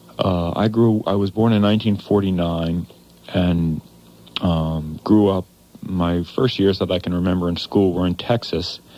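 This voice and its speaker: In an American accent, a man speaks with a very deep, low pitch and a dark, mellow tone, his intonation fairly even at a moderate pace. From US Northeast. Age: 40s. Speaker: radio talk show host. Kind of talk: radio call-in talk show monologue. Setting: radio studio. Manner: halting, many fillers.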